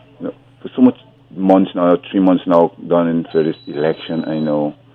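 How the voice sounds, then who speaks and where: A man's very deep, low voice with ordinary pitch variation over noticeable background noise. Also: moderate pace. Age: 60s. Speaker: caller. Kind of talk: phone-in call. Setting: phone call.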